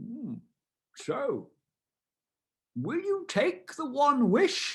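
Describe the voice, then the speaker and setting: In a put-on character voice, the speaker uses a high pitch and a very slow pace. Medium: read story. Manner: calm, measured.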